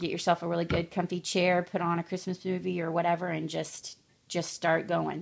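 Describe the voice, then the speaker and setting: A woman's fairly low voice comes out monotone and flat at a fairly quick pace, with vocal fry. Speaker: crafter making clothes for her children. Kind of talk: tutorial. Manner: fast; casual with many fillers.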